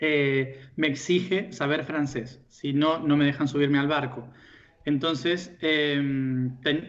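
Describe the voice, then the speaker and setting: This man's voice sits at a fairly high pitch. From Argentina. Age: young. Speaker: spiritual teacher. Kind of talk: interview. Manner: hesitant, many fillers.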